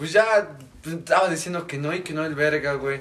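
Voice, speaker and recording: A man with a fairly high pitch and ordinary pitch variation keeps a moderate pace. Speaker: podcast guest. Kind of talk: casual chat.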